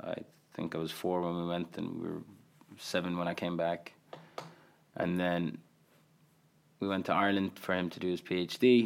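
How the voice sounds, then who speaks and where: At a moderate pace, a man with a very deep, low pitch speaks with long, frequent pauses. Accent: Irish. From Qatar. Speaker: comedian and creator. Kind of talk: casual chat. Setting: studio.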